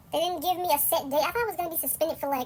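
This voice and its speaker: Against noticeable background noise, a woman speaks at a very fast pace. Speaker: vlogger. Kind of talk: storytime rant. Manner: animated; sped up, higher pitched.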